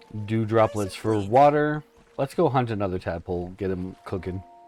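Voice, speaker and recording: Over music in the background, a man with a fairly low pitch speaks with ordinary pitch variation. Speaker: gaming streamer. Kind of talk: live gameplay commentary. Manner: casual, joking.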